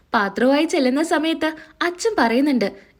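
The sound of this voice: Lively intonation at a fairly quick pace in a very clean recording with a silent background. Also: woman, high pitch for a woman.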